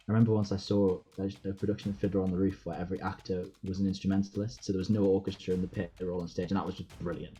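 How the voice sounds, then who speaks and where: A dark, mellow tone in a Geordie accent. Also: man. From Newcastle, England. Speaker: actor. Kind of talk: interview answer.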